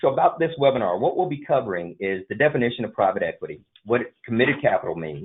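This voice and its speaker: Fairly quick speech with a Southern US accent and very wide pitch swings. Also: man. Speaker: M&A advisory firm vice president. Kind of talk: business webinar presentation.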